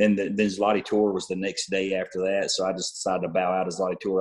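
A man races along at a very fast pace, with a quiet background behind him. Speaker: guest. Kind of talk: interview answer. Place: home room. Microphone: video call.

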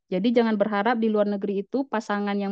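A woman speaks at a medium pitch with fairly even intonation. The sound is dry with no echo, and the background is quiet. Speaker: nursing academic and scholarship alumna; presenter. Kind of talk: online presentation. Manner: halting, many fillers. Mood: personal, reflective storytelling. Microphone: video call.

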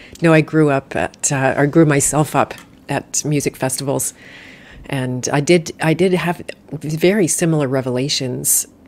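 The intonation stays fairly even while the delivery keeps a moderate pace. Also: woman. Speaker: podcast host. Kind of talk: live interview conversation. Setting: live stream with online audience. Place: home room. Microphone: studio mic.

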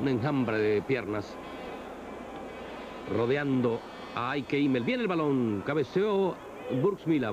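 Amid noticeable background noise, a man's voice moves through very wide pitch swings. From Barranquilla, Colombia. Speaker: sports commentator. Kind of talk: football match commentary. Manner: measured, unhurried, no shouting.

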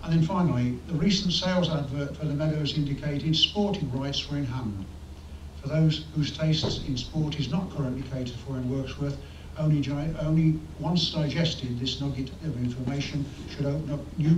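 A man talks at a moderate pace with ordinary pitch variation. The recording carries audible room echo and light background noise. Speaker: member of public addressing council. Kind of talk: prepared public statement. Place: meeting room. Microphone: podium.

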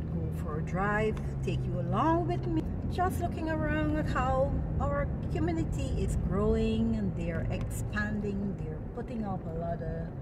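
A woman at a fairly slow pace over loud background noise. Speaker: vlogger. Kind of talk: casual vlog chat. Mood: relaxed and cheerful. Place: car. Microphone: phone near.

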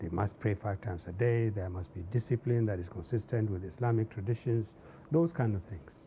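Speaking at a fairly quick pace with a northern Nigerian accent, the man has a fairly low, somewhat breathy voice with a dark, mellow tone and ordinary pitch variation, over light background noise. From northern Nigeria, Zaria. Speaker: civil society activist and former public servant. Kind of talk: interview. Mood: calm, reflective. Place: studio.

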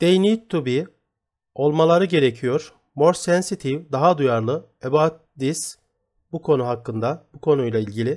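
A man speaks in a plain, everyday voice at a fairly high pitch and a fairly slow pace. The recording is very clean with a silent background. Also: ordinary pitch variation. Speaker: English teacher. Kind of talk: tutorial.

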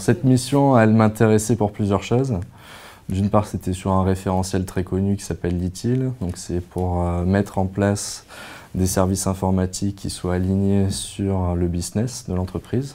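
A man's voice has a dark, mellow tone and a very deep, low pitch. His intonation is fairly even. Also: fairly slow pace. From Provence, southern France. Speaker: former master's student. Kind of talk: testimonial interview. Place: office. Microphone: lapel.

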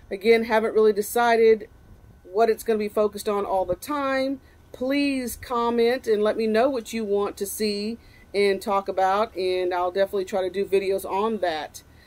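Ordinary pitch variation from a woman at a moderate pace. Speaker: fishing vlogger. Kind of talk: casual vlog chat. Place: garden.

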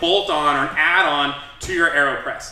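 Audible room echo surrounds the voice. A man speaks with ordinary pitch variation. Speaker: coffee show host. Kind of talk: tutorial.

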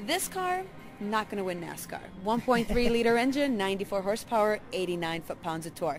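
A woman at a moderate pace, with ordinary pitch variation, dry sound with no echo and light background noise. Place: hall.

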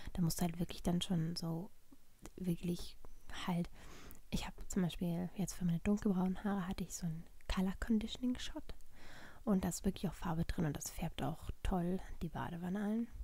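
Soft-spoken and somewhat breathy, a woman talks at a moderate pace in a dark, mellow tone with fairly even intonation, long, frequent pauses, and a dry sound with no echo. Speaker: ASMR vlogger. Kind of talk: ASMR vlog, casual talk to camera. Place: home room.

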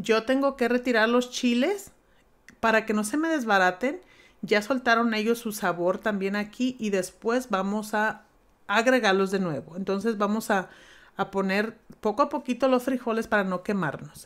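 A woman talks with a fairly high pitch, a moderate pace and ordinary pitch variation, in a plain, everyday voice. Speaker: home cooking youtuber. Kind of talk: cooking tutorial. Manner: talkative, informal. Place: kitchen.

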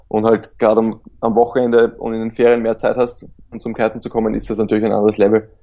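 A man speaks in a monotone with flat intonation, at a fairly quick pace. His pitch is medium, and his tone is dark and mellow. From Austria. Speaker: professional kitesurfer. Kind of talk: interview conversation.

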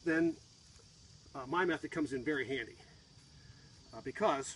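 A man at a moderate pace, fairly even intonation, dry sound with no echo, light background noise. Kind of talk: tutorial. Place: garden. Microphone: phone near.

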